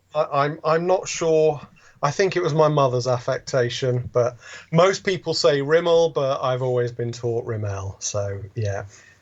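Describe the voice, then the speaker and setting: A man with a West Country accent speaks at a fairly slow pace. His voice is somewhat breathy and fairly high in pitch. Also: lively intonation. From England, West Country (Wiltshire). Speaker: author and artist. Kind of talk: podcast interview.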